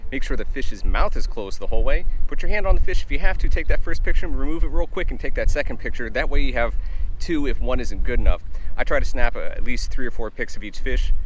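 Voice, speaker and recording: With noticeable background noise behind him, a man speaks very fast at an extremely high pitch with lively intonation. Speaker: fishing channel host. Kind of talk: tutorial. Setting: outdoors.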